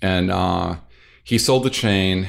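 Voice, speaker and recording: A man talks with an American accent. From US South, North Louisiana. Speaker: architect and interior designer. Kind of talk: interview.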